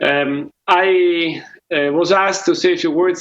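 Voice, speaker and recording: A man speaks with a non-native accent. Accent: foreign. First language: not English. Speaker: peace mediator. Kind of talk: award speech. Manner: halting.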